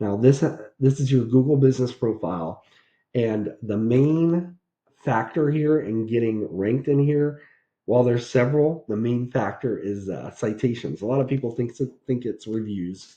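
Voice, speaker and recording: Dark and mellow in tone, a man's voice sits at medium pitch with ordinary pitch variation and a moderate pace. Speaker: SEO consultant. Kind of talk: tutorial. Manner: casual, conversational.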